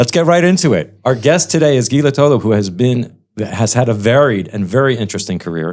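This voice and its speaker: Using very wide pitch swings, a man talks at a fairly quick pace with an American accent. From United States. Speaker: podcast host, wealth management executive. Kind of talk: interview podcast.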